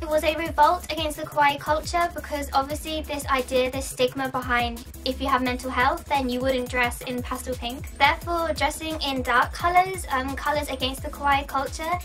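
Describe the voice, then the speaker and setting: Music plays in the background as a woman speaks at a moderate pace with hardly any pauses. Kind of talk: explainer talk to camera.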